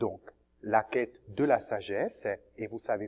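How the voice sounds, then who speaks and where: A man's medium-pitched voice at a very slow pace. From Cameroon. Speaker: seminarian, theology student. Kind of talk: testimony.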